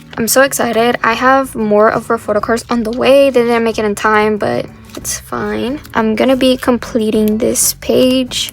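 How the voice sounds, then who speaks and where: Against noticeable background noise, a woman with a fairly high pitch speaks in a monotone, flat way at a moderate pace, with hardly any pauses. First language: Spanish. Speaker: K-pop collector YouTuber. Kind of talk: casual chat. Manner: casual, many fillers.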